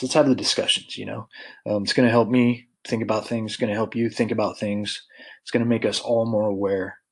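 A man with an American accent, a fairly quick pace, and monotone, flat intonation. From Colorado. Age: 40s. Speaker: podcast host, military veteran. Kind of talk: casual solo monologue. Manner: many fillers and hesitations.

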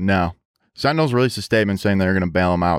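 In a very clean recording with a silent background, a man speaks at a very deep, low pitch. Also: dry, close sound with no echo. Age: 20s. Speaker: podcast co-host. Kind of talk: casual chat. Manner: mumbling; slurred speech.

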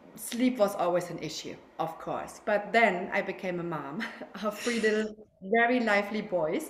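A woman with a German accent, medium pitch and ordinary pitch variation, at a moderate pace. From Germany. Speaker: sleep consultant. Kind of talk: casual interview. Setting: video call.

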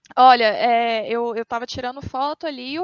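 A woman speaks with ordinary pitch variation. The sound is dry and close with no echo, against a quiet background. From Minas Gerais, Brazil. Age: 20s. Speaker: pop culture event organizer. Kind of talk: casual chat.

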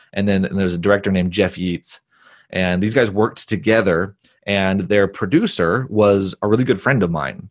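A man speaks at a moderate pace over a quiet background, fairly low-pitched with ordinary pitch variation, in an ordinary speaking voice. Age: 30s. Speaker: filmmaker and business coach. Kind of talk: interview.

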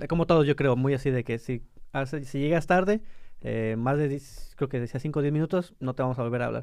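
Here a man talks at a fairly quick pace. His pitch is fairly high with ordinary variation. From Mexico, La Paz. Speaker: podcast co-host. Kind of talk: casual chat. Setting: studio.

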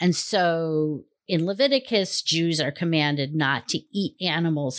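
A woman with a very deep, low pitch and ordinary pitch variation, on a very clean recording with a silent background. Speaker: Jungian analyst and co-host. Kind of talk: casual chat, conversational. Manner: animated, reflective.

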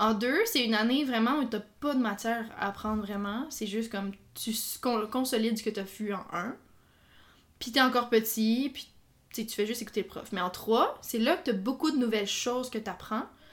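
A woman's fairly high, somewhat breathy voice at a moderate pace with ordinary pitch variation, on a very clean recording with a silent background. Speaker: podcast co-host, teacher. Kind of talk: casual chat.

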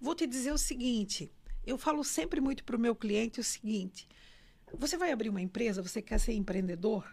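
A woman talks at a fairly quick pace with a fairly high pitch. She has an unremarkable speaking voice and lively intonation. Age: 60s. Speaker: numerologist and former bank director. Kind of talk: interview. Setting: studio.

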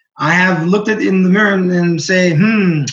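With audible room echo, a man talks at a moderate pace in a high pitch with ordinary pitch variation. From Burundi, with Greek mother. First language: Greek. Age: 30s. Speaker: writer. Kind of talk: casual chat.

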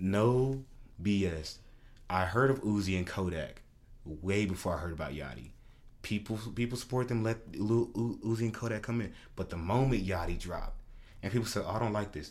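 Talking at a moderate pace, a man with a fairly low pitch sounds animated, his pitch moving in an ordinary way over audible room echo. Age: 20s. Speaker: podcast co-host. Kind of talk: casual chat.

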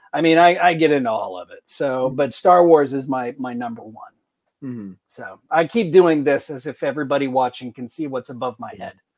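A normal speaking voice, a man's fairly high pitch with ordinary pitch variation, fairly quick pace and big swings in loudness. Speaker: podcast co-host. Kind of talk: casual chat.

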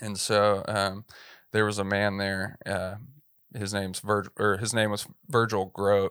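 In a Texan accent, a man talks fairly slowly and fairly low in a monotone, flat delivery, with a dry, close sound with no echo on a very clean recording with a silent background. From East Texas. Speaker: filmmaker and church media producer. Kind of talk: interview.

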